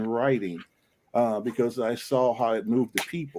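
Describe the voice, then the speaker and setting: The man has a plain, everyday voice with ordinary pitch variation. He talks at a fairly quick pace. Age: 60s. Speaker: pastor and author. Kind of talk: panel discussion.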